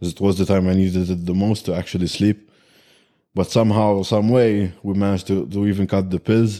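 In a Maltese accent, the speaker moves at a fairly quick pace with fairly even intonation and a dark, mellow tone, on a very clean recording with a silent background. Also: man, fairly low pitch for a man. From Malta. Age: 20s. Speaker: bodybuilder. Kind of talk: casual interview.

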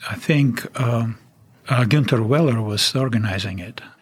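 With a Russian accent, a man talks at a fairly slow pace and with ordinary pitch variation. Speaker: retired permafrost researcher. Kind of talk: interview. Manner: halting, hesitant with fillers.

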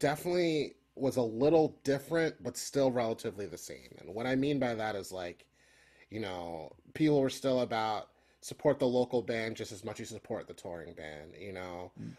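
A man with an unremarkable speaking voice, medium pitch, lively intonation, big swings in loudness and a moderate pace, with an American accent. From Philadelphia. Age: 30s. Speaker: folk punk musician. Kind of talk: casual interview chat.

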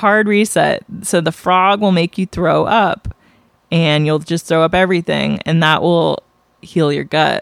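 In a plain, everyday voice, a woman speaks at a fairly slow pace with a fairly low pitch, fairly even intonation and very even loudness. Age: 40s. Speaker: podcast co-host. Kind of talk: casual chat.

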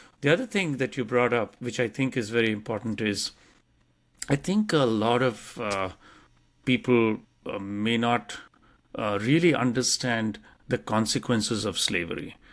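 On a very clean recording with a silent background, a man with an Indian accent speaks at a medium pitch and moderate pace, with ordinary pitch variation and long, frequent pauses. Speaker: podcast co-host. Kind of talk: casual conversation.

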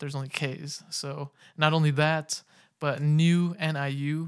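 On a very clean recording with a silent background, a man with a West Coast American accent speaks at a fairly high pitch in a monotone, flat intonation. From Sacramento, California. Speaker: music podcast host. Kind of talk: casual monologue. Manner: laid-back, with frequent fillers and laughs.

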